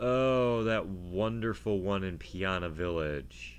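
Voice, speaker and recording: There is audible room echo on this recording. A man speaks with a very deep, low pitch. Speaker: gaming video creator. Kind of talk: let's play commentary. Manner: casual, halting with fillers.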